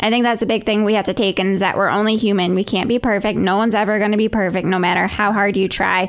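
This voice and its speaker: Over a silent background in a very clean recording, a woman talks at a very fast pace in a fairly high pitch. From Michigan. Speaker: podcast co-host. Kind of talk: casual chat.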